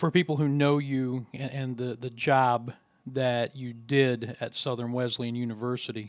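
At a medium pitch, a man speaks fairly slowly in a flat, monotone way. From West Virginia. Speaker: podcast host and sports play-by-play announcer. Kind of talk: casual interview. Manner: hesitant, many fillers.

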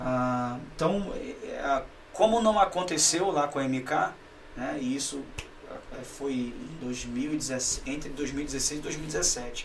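Speaking very slowly with long, frequent pauses, a man uses a fairly high pitch and ordinary pitch variation. Noticeable background noise and audible room echo fill the recording. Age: 40s. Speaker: pastor. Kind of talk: casual chat.

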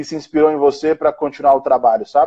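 The man's voice has a dark, mellow tone. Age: 30s. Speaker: entrepreneur, founder and CEO. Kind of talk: casual chat on a live stream. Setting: Instagram live video call on a phone.

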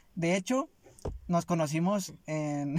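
The recording is very clean and the background silent. In it, a man's voice sits fairly high in pitch. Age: 20s. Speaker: podcast co-host, student and warehouse worker. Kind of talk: casual chat.

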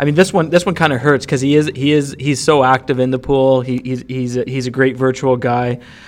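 A man talks at a fairly quick pace with hardly any pauses, using an ordinary speaking voice at medium pitch with fairly even intonation. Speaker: fantasy hockey podcast co-host. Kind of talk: casual chat.

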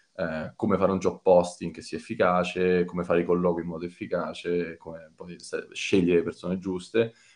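A man with a very deep, low pitch, monotone, flat intonation, a fairly quick pace and big swings in loudness. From Italy, Rome. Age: 30s. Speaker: data team manager. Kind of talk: interview. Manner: halting, many fillers.

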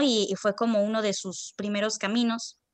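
A woman with an unremarkable speaking voice talks at a fairly slow pace in a fairly high pitch, against a quiet background. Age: 20s. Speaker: acting student. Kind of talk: interview.

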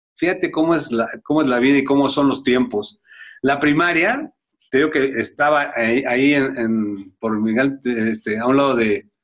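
A man with a normal speaking voice talks at a fairly slow pace, his fairly high pitch varying an ordinary amount while his loudness stays very even. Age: 50s. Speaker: retired footballer. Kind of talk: interview.

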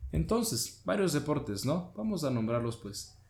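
A man's somewhat breathy voice at a moderate pace. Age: 20s. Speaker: podcast host. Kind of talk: educational talk.

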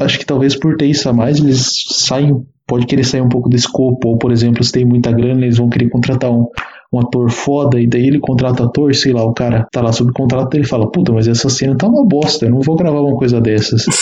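This man talks very fast and keeps his loudness very even throughout. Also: medium pitch for a man, fairly even intonation. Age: 20s. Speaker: engineering student and independent writer. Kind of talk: casual chat.

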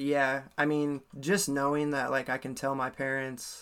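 A man with an American accent speaks at a medium pitch in a monotone, flat intonation. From US Midwest, Ames, Iowa. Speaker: hip hop musician. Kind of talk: casual interview.

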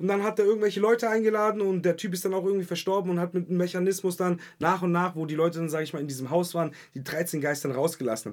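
A man's high voice at a very fast pace, with hardly any pauses. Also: ordinary pitch variation. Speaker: podcast co-host / film fan. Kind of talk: casual chat. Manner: animated.

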